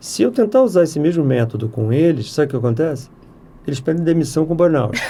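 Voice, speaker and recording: A man at a very fast pace, fairly high in pitch, with a dark, mellow tone and lively intonation. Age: 60s. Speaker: software company president. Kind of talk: podcast interview.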